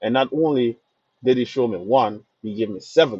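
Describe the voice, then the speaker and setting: With a Jamaican accent, a man at medium pitch speaks at a moderate pace in a dark, mellow tone with lively intonation. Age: young. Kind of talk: casual talk to camera.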